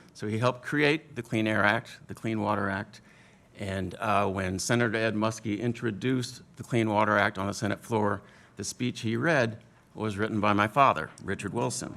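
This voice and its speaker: A man's plain, everyday voice with an American accent, fairly low in pitch, with ordinary pitch variation and a fairly quick pace. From Washington DC area. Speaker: panelist. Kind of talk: panel discussion.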